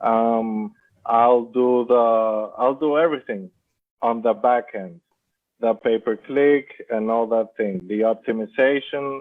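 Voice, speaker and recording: Speaking with a non-native accent, a man goes at a fairly slow pace with long, frequent pauses, his medium-pitched voice keeping fairly even intonation. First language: not English. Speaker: Amazon seller. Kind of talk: interview. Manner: halting.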